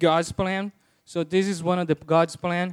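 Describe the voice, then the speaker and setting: Heard in a dry, close sound with no echo, a man with a Portuguese accent speaks at a high pitch. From Brazil. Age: 30s. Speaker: lay preacher. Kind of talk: sermon. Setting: church. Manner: halting.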